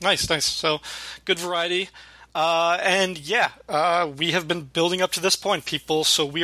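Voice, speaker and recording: A man's bright, sharp voice, fairly high in pitch, at a moderate pace. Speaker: podcast host. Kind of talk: casual chat. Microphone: cheap earbud mic after main mic broke.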